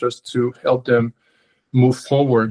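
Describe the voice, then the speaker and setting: With a non-native accent, a man speaks at a medium pitch in a flat monotone, recorded with a dry, close sound and no echo. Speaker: consultant and coach. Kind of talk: webinar presentation. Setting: video call webinar. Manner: halting, many fillers and repetitions.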